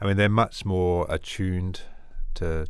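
Here a man speaks with an Australian accent. The recording is very clean, with a silent background. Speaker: missionary doctor. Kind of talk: interview.

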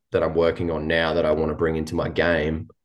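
Over a quiet background, a man with an Australian accent speaks in a very deep, low pitch. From New South Wales, Australia. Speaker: professional cricketer. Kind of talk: casual interview. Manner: hesitant, many fillers.

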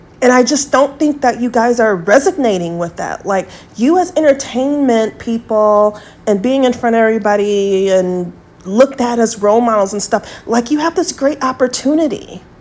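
Lively intonation lifts a woman's fairly high pitch at a moderate pace, with noticeable background noise present. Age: 40s. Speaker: podcast host. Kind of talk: monologue rant.

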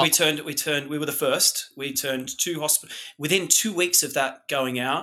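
A fairly high-pitched man with an Australian accent and a bright, sharp tone talks very fast with ordinary pitch variation. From Australia, remote outback town. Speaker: hotel industry executive. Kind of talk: interview.

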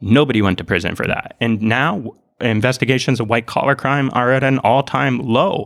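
In a very clean recording with a silent background, a man with an ordinary speaking voice talks with an American accent. His pitch is medium with ordinary variation, and his pace is moderate. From northern Minnesota, US. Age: 30s. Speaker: sociology doctoral researcher. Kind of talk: interview conversation.

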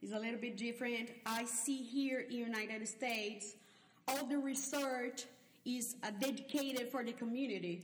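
A woman with a Portuguese accent and a high pitch speaks with fairly even intonation, with audible room echo and noticeable background noise. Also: moderate pace. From Brazil. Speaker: neuroscience researcher, professor. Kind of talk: interview. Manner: hesitant, many fillers.

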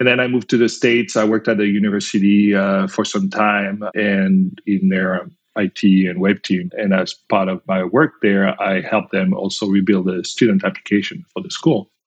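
The speaker has a French accent and fairly even intonation. The sound is dry and close, with no echo. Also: man, fairly low pitch for a man, moderate pace. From France. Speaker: company founder and CEO. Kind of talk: interview.

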